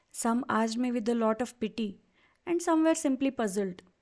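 The speaker's intonation is lively at a moderate pace, in a very clean recording with a silent background. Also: woman. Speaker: podcast host and coach. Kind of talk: solo podcast monologue.

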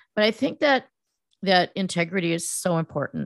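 A woman with a General American accent speaks at a moderate pace in an unremarkable speaking voice, with ordinary pitch variation, dry close sound with no echo, and a quiet background. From US West Coast, Silicon Valley. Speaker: PR firm founder, former news reporter. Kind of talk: interview.

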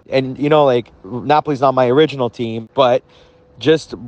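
Over noticeable background noise, a man talks at a fairly quick pace with fairly even intonation in a dry, close sound with no echo. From Canada, Montreal. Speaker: football fan. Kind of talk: recorded fan message.

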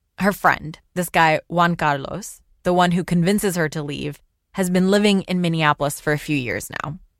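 On a very clean recording with a silent background, a woman with a plain, everyday voice speaks at a moderate pace, fairly low in pitch with ordinary pitch variation. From Pakistan, raised in Los Angeles. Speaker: podcast host. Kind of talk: scripted narration.

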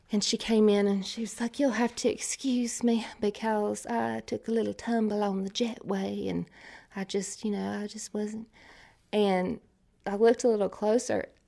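This voice has a dark, mellow tone and an Appalachian accent. It moves at a moderate pace with monotone, flat intonation. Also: woman, medium pitch for a woman. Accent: Appalachian Southern US. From Eastern Kentucky, US. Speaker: country singer-songwriter. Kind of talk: interview.

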